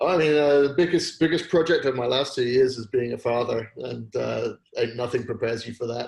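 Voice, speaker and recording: A man with a British accent talks at a fairly quick pace with hardly any pauses. His medium-pitched voice is somewhat breathy, with ordinary pitch variation. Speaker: entrepreneur. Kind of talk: casual chat. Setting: video call.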